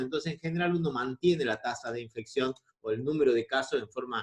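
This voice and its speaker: This man speaks at a very fast pace with a fairly high pitch. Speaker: infectious disease doctor. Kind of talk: lecture.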